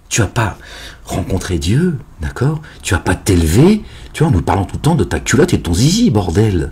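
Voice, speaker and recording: A man speaks at a moderate pace in a fairly low voice. His pitch swings very widely, and his loudness swings a lot too. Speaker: religious commentator. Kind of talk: online religious monologue.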